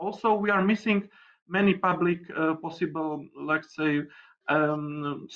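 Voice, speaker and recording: Here a man speaks fairly slowly with a high pitch. His intonation stays fairly even. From Slovakia. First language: Slovak. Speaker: deputy mayor. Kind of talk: panel discussion. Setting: video call. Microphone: video call.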